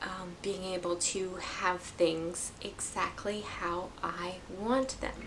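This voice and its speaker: A woman talks at a very slow pace with fairly even intonation. There is audible room echo, plus noticeable background noise. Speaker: knitting podcaster. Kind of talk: casual vlog chat. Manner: halting, stuttering.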